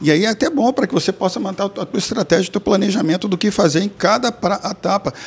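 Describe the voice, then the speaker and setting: Over noticeable background noise, a man with a high pitch talks at a very fast pace with hardly any pauses and ordinary pitch variation. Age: 50s. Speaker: sales trainer and speaker. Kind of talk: casual interview.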